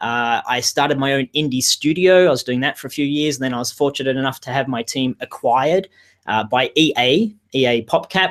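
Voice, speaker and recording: In a dry, close sound with no echo, a man with an Australian accent talks at a fairly quick pace with a fairly high pitch and ordinary pitch variation. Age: 40s. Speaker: game industry career coach. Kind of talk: webinar interview. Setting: video webinar. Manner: fast.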